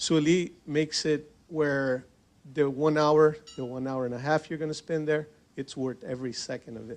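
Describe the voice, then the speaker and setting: This man talks at a moderate pace in a fairly high pitch, his intonation fairly even while his loudness swings widely. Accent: Portuguese. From Brazil, São Paulo; moved to US at 15. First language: Portuguese. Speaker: business association member. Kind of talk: panel discussion at event. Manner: hesitant, many repetitions.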